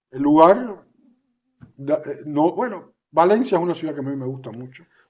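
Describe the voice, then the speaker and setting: The speech moves at a moderate pace with lively intonation and big swings in loudness. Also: man, fairly high pitch for a man. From Cuba, Havana. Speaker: exiled writer. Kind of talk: interview. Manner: halting, many repetitions.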